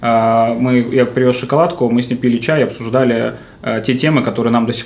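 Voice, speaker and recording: Noticeable background noise sits under a man speaking at a medium pitch and fairly quick pace, his intonation monotone and flat. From Novosibirsk, Russia. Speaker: hotel manager. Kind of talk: casual interview. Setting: hotel room studio.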